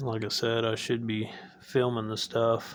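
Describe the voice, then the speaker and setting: In a flat monotone, a man drawls at a fairly slow pace. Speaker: home mechanic. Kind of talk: casual talk to camera. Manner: slow, low-energy drawl.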